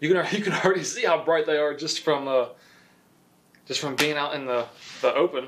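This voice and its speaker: Over light background noise, a man talks at a fairly quick pace in a fairly high pitch with ordinary pitch variation. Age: 20s. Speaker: youtuber. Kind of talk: unboxing video. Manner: casual, filler-heavy. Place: garage.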